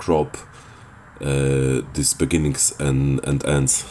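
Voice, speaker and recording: With a Polish accent, a man speaks at a very slow pace in a very deep, low voice. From Poland. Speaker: gaming video creator. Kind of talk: tutorial. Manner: hesitant, many filler sounds.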